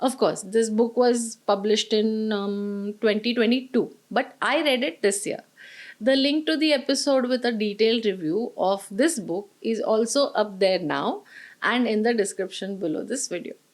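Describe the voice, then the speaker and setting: Speaking at a moderate pace with a fairly high pitch, a woman with a Marathi accent is heard in a very clean recording with a silent background. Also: ordinary pitch variation. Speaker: book reviewer. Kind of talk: book review monologue.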